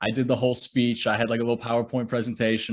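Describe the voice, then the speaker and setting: This man has a medium pitch and a slight Michigan accent. The recording is very clean, with a silent background. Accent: light Michigan. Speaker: author and social media creator. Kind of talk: interview.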